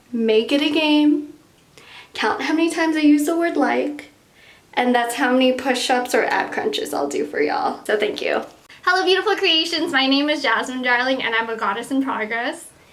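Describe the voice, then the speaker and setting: A woman in a Southern California accent talks at a moderate pace in a high voice with lively intonation. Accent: Valley Girl. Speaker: YouTuber. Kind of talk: casual chat. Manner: frequent filler "like".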